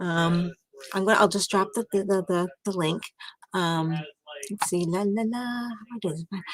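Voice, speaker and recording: A soft-spoken woman talks at a moderate pace, leaving long, frequent pauses. Her intonation is fairly even, and the sound is dry and close with no echo. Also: medium pitch for a woman. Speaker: livestreamer. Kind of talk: casual chat. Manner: quiet to avoid waking others.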